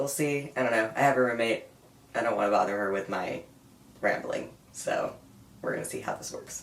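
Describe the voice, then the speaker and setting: The speaker keeps a moderate pace. Noticeable background noise sits behind the voice. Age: 20s. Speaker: vlogger. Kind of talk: personal vlog update. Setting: home room with sound dampening.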